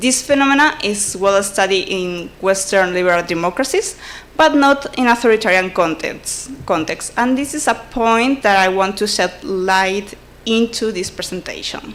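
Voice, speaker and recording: Lively intonation marks this voice with a Spanish accent. The pace is moderate. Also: woman, medium pitch for a woman. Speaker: conference presenter. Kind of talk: academic presentation. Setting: conference. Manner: halting, frequent self-corrections.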